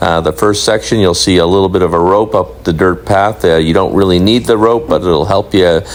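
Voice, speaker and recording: A man's very deep, low pitch over noticeable background noise. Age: 60s. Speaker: travel vlogger. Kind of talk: vlog voiceover narration. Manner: hesitant with frequent uhs.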